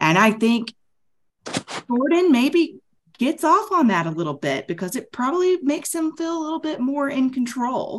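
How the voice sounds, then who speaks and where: Speaking at a moderate pace, a woman with an American accent uses a high pitch and very wide pitch swings. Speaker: podcast panellist. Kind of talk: casual chat.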